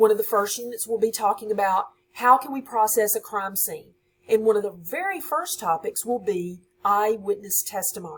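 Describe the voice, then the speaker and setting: A woman with a Southern US accent, fairly high pitch, lively intonation, a somewhat breathy voice, big swings in loudness and a moderate pace. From US South, Louisiana (West Monroe). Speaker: high school science teacher. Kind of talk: course introduction for students.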